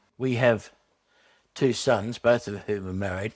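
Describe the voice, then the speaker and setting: A man with a fairly low pitch talks at a moderate pace with ordinary pitch variation, on a very clean recording with a silent background. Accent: Australian. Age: 60s. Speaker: retiree, swing voter. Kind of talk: documentary interview.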